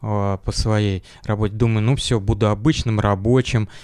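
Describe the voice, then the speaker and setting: A man speaks at a fairly low pitch. His intonation is fairly even. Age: 40s. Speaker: engineer, church member, former rehab patient. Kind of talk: interview. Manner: halting.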